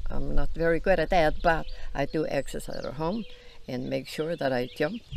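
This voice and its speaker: A woman speaks at a moderate pace with an Icelandic accent. Audible room echo and noticeable background noise are present in the recording. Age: 90s. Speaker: grandmother interviewed on farm channel. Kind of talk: casual interview chat.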